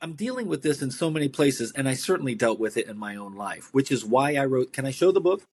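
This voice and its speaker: A man's fairly high voice at a very fast pace, with lively intonation, big swings in loudness and hardly any pauses. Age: 60s. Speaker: author and midlife transitions coach. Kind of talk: interview.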